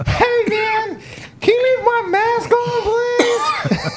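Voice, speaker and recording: A squeaky put-on character voice at a very slow pace over loud background noise. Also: man, extremely high pitch for a man. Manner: pleading, comedic.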